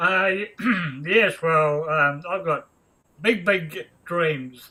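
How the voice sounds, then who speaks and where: Speaking very slowly, a man with a high pitch uses ordinary pitch variation. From New Zealand. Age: 70s. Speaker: guest sharing personal story. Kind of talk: casual interview. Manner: halting, many fillers.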